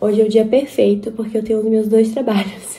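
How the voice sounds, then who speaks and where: A woman with a fairly high voice speaks quietly at a fairly quick pace in a monotone, flat intonation. Audible room echo and noticeable background noise are present. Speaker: vlogger. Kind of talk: vlog. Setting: at home before dawn.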